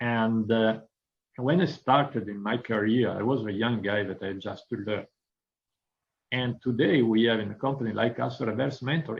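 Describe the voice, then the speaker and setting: Speaking at a moderate pace with ordinary pitch variation, a man talks in an Italian accent. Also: medium pitch for a man. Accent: Italian accent, non-native English. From northern Italy. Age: 50s. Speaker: business executive. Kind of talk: interview. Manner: frequent hesitations (uh).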